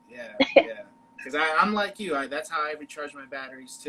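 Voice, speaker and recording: This man has an American accent and a fairly high pitch, with ordinary pitch variation. He talks at a fairly quick pace over noticeable background noise. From Chicago. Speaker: podcast host. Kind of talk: casual chat.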